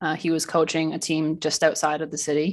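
A woman with a Canadian accent speaks at a fairly low pitch and a fairly slow pace. Her recording is very clean, with a silent background. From Ontario, Canada. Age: 20s. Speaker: professional hockey player and mindset coach. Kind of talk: casual interview.

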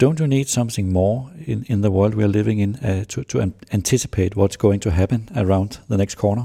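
A man with a Danish accent speaks at a fairly quick pace with hardly any pauses, his fairly low voice dark, mellow and somewhat breathy. His pitch varies in an ordinary way, and the recording is very clean with a silent background. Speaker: business journalist, podcast host. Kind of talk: interview.

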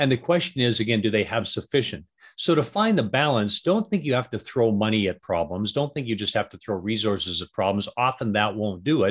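Speaking fairly quickly with hardly any pauses, a man with a western Canadian accent uses lively intonation at a medium pitch. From Canada, Vancouver. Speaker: strategy consultant and author. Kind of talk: interview.

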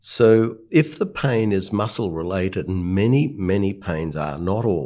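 On a very clean recording with a silent background, a man with an Australian accent speaks at a fairly slow pace in a very deep, low pitch. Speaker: palliative care doctor. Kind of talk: panel discussion.

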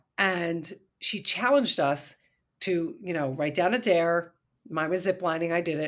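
A woman's fairly slow voice with ordinary pitch variation, a plain, everyday voice. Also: fairly low pitch for a woman. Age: 50s. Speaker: life coach for mothers. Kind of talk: interview. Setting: remote interview from Washington, D.C.

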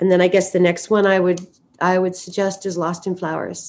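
A woman with a Canadian accent and an ordinary speaking voice, fairly low in pitch, at a moderate pace, in a very clean recording with a silent background. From western Canada, Vancouver. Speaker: perfume brand founder. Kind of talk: interview.

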